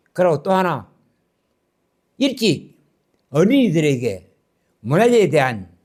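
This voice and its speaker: A man speaks at a high pitch and fairly slow pace, with long, frequent pauses and very wide pitch swings. The recording is very clean with a silent background. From Korea, Gyeongju. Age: 80s+. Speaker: lecturer. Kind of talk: lecture.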